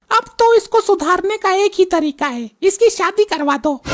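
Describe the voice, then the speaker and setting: At a moderate pace, a squeaky, cartoonish character voice comes through with a dry, close sound and no echo. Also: woman, extremely high pitch for a woman, lively intonation. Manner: sharp, folksy.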